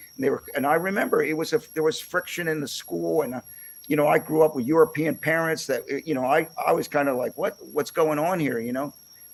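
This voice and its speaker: A man with a Philadelphia accent talks at a very fast pace. His voice is fairly high, with ordinary pitch variation. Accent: Philadelphia-area American. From Pennsylvania, US. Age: 60s. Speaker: podcast host, musician. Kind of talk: interview. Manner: halting, many fillers and repeats.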